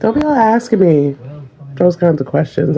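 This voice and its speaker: Over noticeable background noise, a woman with an American accent speaks at a fairly quick pace in a fairly low pitch. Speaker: parent in social media clip. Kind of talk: casual vlog monologue. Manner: animated.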